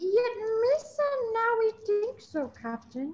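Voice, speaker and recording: Squeaky and extremely high, a woman's put-on character voice moves fairly slowly with lively intonation. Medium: stage play. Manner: broken Gungan pidgin speech.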